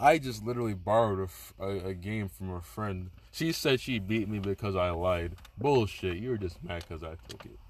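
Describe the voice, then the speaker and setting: In a plain, everyday voice, the speaker moves at a fairly quick pace with lively intonation and big swings in loudness. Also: man, fairly low pitch for a man. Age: 20s. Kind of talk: casual chat.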